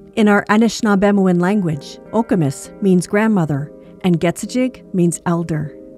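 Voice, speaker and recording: A woman talks at medium pitch with ordinary pitch variation and very even loudness. Music can be heard behind her. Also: moderate pace. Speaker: podcast host. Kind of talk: podcast intro.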